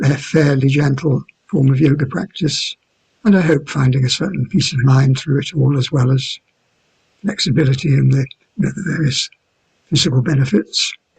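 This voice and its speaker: A man with vocal fry speaks at a moderate pace and a fairly high pitch, with ordinary pitch variation. He leaves long, frequent pauses, and the sound is dry and close with no echo. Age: 70s. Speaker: yoga teacher. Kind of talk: interview answer.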